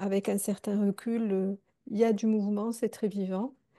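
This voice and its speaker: Against a quiet background, a woman's medium-pitched voice has a dark, mellow tone and fairly even intonation. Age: 60s. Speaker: circle participant. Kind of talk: personal testimony. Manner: halting, many hesitations.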